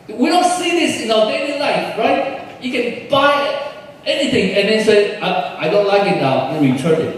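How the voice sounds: With strong room echo, a man talks at a moderate pace in a high voice, with lively intonation and few pauses.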